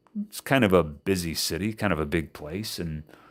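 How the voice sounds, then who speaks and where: In a very clean recording with a silent background, a man speaks with an American accent. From Indiana, USA. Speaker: English teacher. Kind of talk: casual podcast storytelling.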